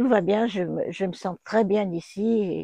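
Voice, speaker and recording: A woman's dark, mellow tone at medium pitch, with ordinary pitch variation and a very slow pace. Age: 80s+. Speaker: retirement home resident. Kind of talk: testimony.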